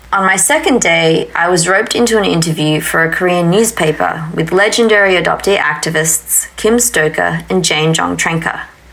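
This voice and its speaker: A normal speaking voice from a woman, medium-pitched, lively in intonation, at a moderate pace. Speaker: podcast host. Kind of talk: interview conversation. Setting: in person, basement room with ambient noise.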